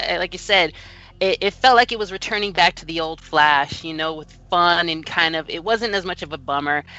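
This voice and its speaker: In a normal speaking voice, a woman talks at a moderate pace with a fairly low pitch and lively intonation. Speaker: podcast co-host. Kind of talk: casual chat.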